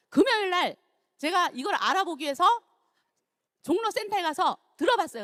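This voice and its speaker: A woman's extremely high, bright and sharp voice at a fairly quick pace, with very wide pitch swings. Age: 60s. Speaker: network marketing distributor. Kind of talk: testimony.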